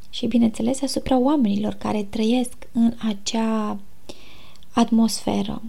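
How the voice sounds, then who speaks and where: Very slow, calm speech, dark and mellow in tone and somewhat breathy, in a monotone, flat intonation with audible room echo. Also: woman, fairly high pitch for a woman. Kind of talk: casual faith talk. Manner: soft-spoken. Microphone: recorded quieter than intro.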